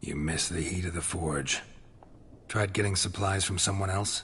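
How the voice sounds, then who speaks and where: A raspy, put-on character voice moves at a moderate pace. Clear background noise is heard behind it. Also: man, very deep, low pitch for a man. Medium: video game. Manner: terse, dry.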